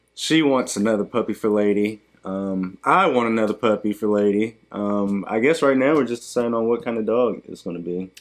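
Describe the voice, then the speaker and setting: In a quiet background, a fairly low-pitched man talks at a fairly quick pace with hardly any pauses and ordinary pitch variation. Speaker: YouTuber. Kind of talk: casual chat. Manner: fast.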